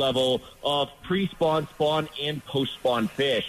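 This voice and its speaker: Fairly high for a man, this plain, everyday voice has ordinary pitch variation. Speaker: fishing contributor. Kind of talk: casual radio chat. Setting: phone call.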